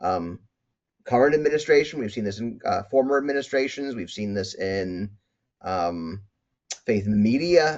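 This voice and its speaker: Pausing long and often, a man speaks at a medium pitch with lively intonation. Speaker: medical school professor and speaker. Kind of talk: conference talk. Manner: fast; halting, many repeated words.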